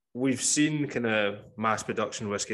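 A man with a Scottish accent speaks at a moderate pace in a fairly low pitch. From Scotland, Campbeltown, west coast. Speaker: podcast host. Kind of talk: casual interview chat.

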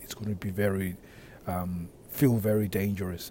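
Somewhat breathy, a man speaks in a fairly low, dark, mellow tone with monotone, flat intonation. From Africa. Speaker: podcast host and men's relationship coach. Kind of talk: solo monologue podcast. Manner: casual, with frequent fillers.

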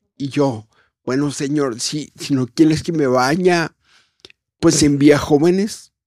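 The man's tone is dark and mellow. He talks at a very slow pace. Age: 40s. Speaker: worship singer. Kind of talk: testimony.

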